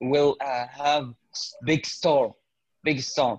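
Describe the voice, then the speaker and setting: Speaking at a very slow pace, a man with an Arabic accent uses a medium pitch. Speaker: English learner. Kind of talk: casual conversation practice. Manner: halting.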